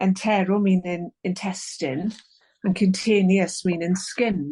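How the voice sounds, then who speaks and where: Speaking with an English accent, a woman at medium pitch talks at a fairly slow pace, her somewhat breathy voice dark and mellow with fairly even intonation. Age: 60s. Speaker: author. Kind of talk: interview. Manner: halting.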